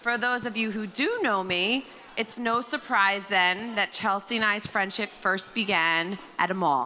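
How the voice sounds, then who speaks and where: A woman with an American accent speaks loudly at a medium pitch and fairly slow pace, with ordinary pitch variation. Her tone is bright and sharp, and the recording is very clean with a silent background. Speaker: maid of honor. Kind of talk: wedding toast. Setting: wedding reception with microphone.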